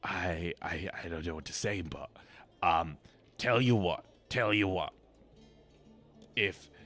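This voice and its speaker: Doing a put-on character voice, a man sounds raspy with a very deep, low pitch. He speaks at a fairly slow pace with long, frequent pauses while music plays in the background. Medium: virtual streamer. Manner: stammering, hesitant.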